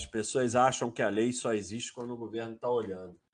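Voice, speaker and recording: The speaker has a Brazilian accent. The background is quiet. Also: man. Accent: Brazilian accent in English words. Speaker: finance livestream host. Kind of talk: casual livestream chat. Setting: live stream.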